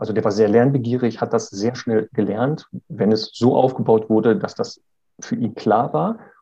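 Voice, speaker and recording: At a medium pitch and moderate pace, a man speaks with a dark, mellow tone and ordinary pitch variation. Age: 40s. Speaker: dog trainer. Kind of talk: interview.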